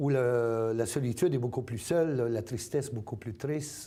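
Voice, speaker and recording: Audible room echo surrounds a man's medium-pitched voice with a dark, mellow tone. He talks at a moderate pace with ordinary pitch variation. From Acadia, New Brunswick. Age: 60s. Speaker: community organization president. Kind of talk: interview. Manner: hesitant with many fillers.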